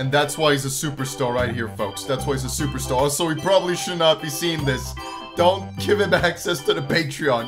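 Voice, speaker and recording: A man talks fairly quickly while clear music sounds behind him. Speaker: reaction video host. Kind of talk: casual reaction commentary.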